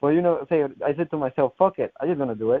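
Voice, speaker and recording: A man speaks with a strong Colombian accent. His pitch variation is ordinary. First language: Spanish. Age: 20s. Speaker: final expense insurance salesman. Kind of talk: success testimonial interview. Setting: conference call. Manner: halting.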